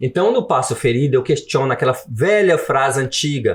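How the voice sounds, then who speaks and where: A man's somewhat breathy, fairly high voice with lively intonation at a fairly quick pace. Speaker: author and former immigrant worker. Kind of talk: podcast interview. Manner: animated.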